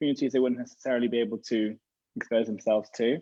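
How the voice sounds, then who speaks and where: A man with a British accent. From UK. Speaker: rabbi and gap year program educator. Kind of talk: online information session interview.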